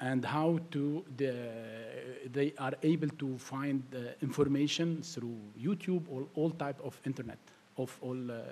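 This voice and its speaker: With an Arabic accent, the speaker talks at a fairly slow pace in a dark, mellow tone with fairly even intonation. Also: man, fairly high pitch for a man. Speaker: tech entrepreneur. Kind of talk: panel discussion. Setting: stage with audience. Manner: halting.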